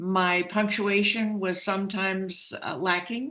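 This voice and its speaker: Her voice is medium in pitch for a woman, with a bright, sharp tone and fairly even intonation. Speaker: author. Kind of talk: interview.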